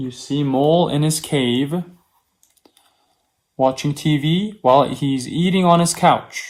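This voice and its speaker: A man with a fairly high pitch speaks very slowly, his pitch varying in an ordinary way. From South Korea. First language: Korean. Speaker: opera singer (tenor). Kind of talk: reading aloud a children's story. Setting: video stream from home. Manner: slow, clear storytelling for children.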